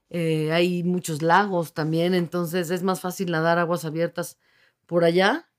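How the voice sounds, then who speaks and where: Here a woman speaks at a fairly slow pace. Her intonation is monotone and flat. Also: fairly low pitch for a woman. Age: 50s. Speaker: open water swimmer, university staff. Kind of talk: radio interview. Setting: radio studio.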